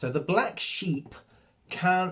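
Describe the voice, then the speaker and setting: A man speaks fairly slowly with a somewhat breathy voice. His intonation is lively. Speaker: guitar teacher. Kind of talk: tutorial. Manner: casual and conversational.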